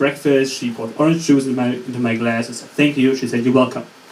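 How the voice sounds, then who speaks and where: Noticeable background noise and audible room echo accompany a man delivering his words at a very fast pace. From Germany. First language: German. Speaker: student comedian. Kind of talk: stand-up. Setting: stage with audience. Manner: halting.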